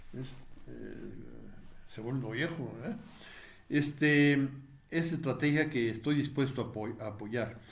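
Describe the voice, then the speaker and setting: Somewhat breathy and medium in pitch, a man talks at a fairly slow pace with ordinary pitch variation amid audible room echo. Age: 70s. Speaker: political commentator, retired politician. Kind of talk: video commentary monologue. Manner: halting, many fillers.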